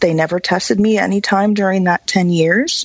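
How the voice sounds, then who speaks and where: At a moderate pace, a woman with a fairly low pitch speaks over noticeable background noise. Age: 40s. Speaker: medical cannabis advocate. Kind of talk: interview.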